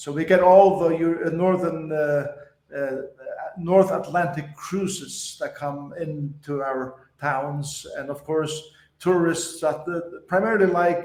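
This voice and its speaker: A high-pitched man with a Faroese accent, very slow and fairly even in intonation, amid audible room echo. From Faroe Islands. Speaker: pastor. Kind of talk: podcast interview.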